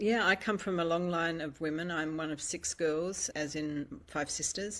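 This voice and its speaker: A woman speaks at a moderate pace in a normal speaking voice, her pitch fairly low and her intonation fairly even. The recording is very clean, with a silent background. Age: 60s. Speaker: audience member sharing a reflection. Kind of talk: casual chat.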